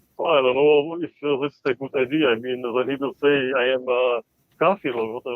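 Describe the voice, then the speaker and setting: Speaking with an Albanian accent, a man keeps a fairly quick pace. His intonation stays fairly even. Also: medium pitch for a man. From Balkans, Macedonia. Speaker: caller. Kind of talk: live call-in debate. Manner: halting.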